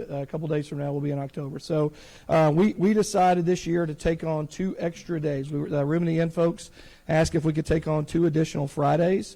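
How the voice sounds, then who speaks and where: A man's fairly high, dark, mellow voice moves at a very fast pace with fairly even intonation. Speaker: church leader. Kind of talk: congregational announcements. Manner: halting, many fillers.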